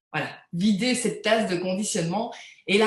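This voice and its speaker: The woman's pitch is fairly high and her voice somewhat breathy. She talks at a moderate pace. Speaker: energy healing practitioner. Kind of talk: live interview, spiritual talk. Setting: live video interview. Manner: hesitant, many repeated words.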